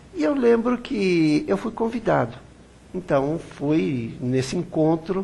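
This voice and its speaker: A man's somewhat breathy voice carries a dark, mellow tone and lively intonation. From Brazil. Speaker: web TV interviewer. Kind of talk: interview.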